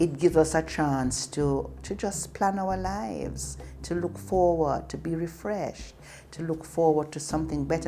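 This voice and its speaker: A woman with a Jamaican accent, speaking at a fairly slow pace, with music in the background. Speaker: storyteller. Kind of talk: casual talk to camera.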